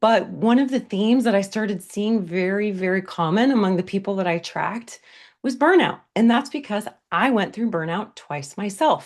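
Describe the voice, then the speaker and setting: A woman at a medium pitch with lively intonation and a fairly quick pace, over a quiet background. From US, half Mexican family. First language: Spanish. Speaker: burnout recovery coach. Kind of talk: webinar presentation. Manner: casual, conversational.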